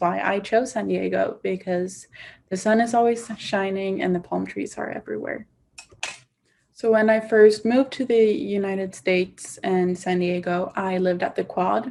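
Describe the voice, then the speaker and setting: Speaking at a moderate pace, a woman with a Swedish accent uses medium pitch and ordinary pitch variation. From Sweden, Stockholm. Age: 20s. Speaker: university student. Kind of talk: casual testimonial.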